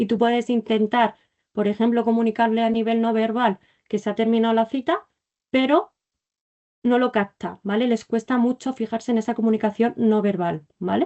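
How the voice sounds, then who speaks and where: A woman's fairly high voice with fairly even intonation and very even loudness. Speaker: clinical psychology resident teaching a masterclass. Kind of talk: online lecture. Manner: fast.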